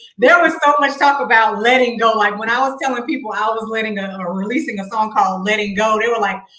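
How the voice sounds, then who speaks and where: Over noticeable background noise, a woman talks at a very fast pace, her fairly high pitch showing ordinary variation. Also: hardly any pauses. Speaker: singer. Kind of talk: interview.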